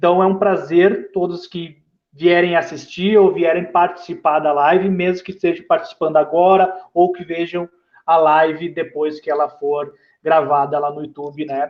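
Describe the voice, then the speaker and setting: A man with a high pitch speaks at a moderate pace in a monotone, flat intonation. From southern Brazil, Porto Alegre. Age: 30s. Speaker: football coach. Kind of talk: online live talk. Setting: live stream. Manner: hesitant, with filler sounds.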